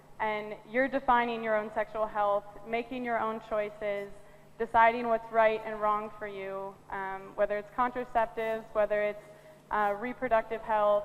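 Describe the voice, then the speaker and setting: Fairly high female voice, moderate pace, noticeable background noise behind it. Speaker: panelist. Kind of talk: panel discussion. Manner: hesitant.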